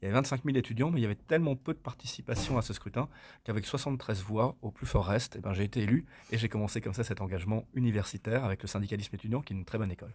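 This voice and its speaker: A somewhat breathy man at medium pitch, talking at a very fast pace with ordinary pitch variation on a very clean recording with a silent background. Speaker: mayor and regional politician. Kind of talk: interview.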